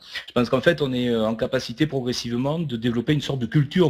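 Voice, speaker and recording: This man speaks very fast in a Toulouse accent. His pitch sits in the medium range and varies an ordinary amount. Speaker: network marketing speaker. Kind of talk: online webinar talk. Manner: hesitant, many filler sounds.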